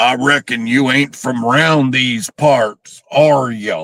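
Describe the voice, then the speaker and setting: Using a put-on character voice, a man speaks raspily at a very slow pace with a medium pitch. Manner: stereotyped, exaggerated.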